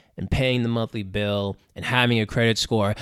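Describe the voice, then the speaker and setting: A man speaks in an ordinary speaking voice at medium pitch and a moderate pace. His pitch variation is ordinary, on a very clean recording with a silent background. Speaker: podcaster. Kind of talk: casual solo monologue. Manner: profane, rambling, casual; self-deprecating, joking.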